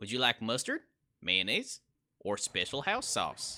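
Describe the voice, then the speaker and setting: Pitched low-to-middle, a put-on character voice delivers its lines at a moderate pace. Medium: read story.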